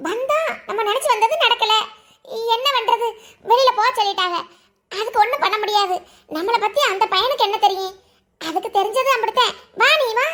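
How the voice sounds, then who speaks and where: A woman's cartoonish character voice, pitched extremely high. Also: moderate pace. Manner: loud, forceful.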